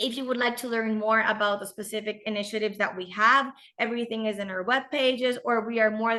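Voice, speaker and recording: Over a quiet background, a woman uses a normal speaking voice with a fairly high pitch and fairly even intonation. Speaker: lodge company owner and manager. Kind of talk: business presentation.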